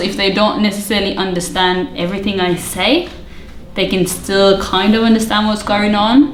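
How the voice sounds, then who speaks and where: Her medium-pitched voice moves at a fairly quick pace with ordinary pitch variation. Audible room echo and noticeable background noise surround the woman. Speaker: youth pastor. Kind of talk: interview.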